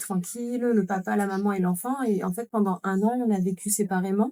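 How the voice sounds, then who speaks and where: A woman at a medium pitch speaks with a dark, mellow tone and fairly even intonation. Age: 40s. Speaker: mother living with chronic illness, podcast guest. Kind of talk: podcast interview.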